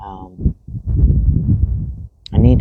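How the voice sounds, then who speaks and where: Over noticeable background noise, a man speaks quietly and very slowly. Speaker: spiritual vlogger. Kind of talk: casual vlog monologue. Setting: outdoors in a park. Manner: quiet, low.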